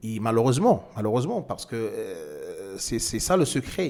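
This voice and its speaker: Here is a man with a non-native accent. His pitch sits in the medium range. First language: not French (speaking French). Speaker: trading instructor. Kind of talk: tutorial. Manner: halting, many hesitations.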